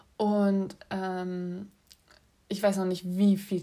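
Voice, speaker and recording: A woman's medium-pitched voice with a dark, mellow tone and fairly even intonation. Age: 20s. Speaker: podcast host, film student. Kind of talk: casual solo podcast monologue. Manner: chatty, many filler sounds.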